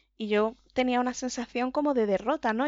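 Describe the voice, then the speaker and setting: Her intonation is fairly even, and this woman speaks at a high pitch. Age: 20s. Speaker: patient, office administrator. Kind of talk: interview testimony.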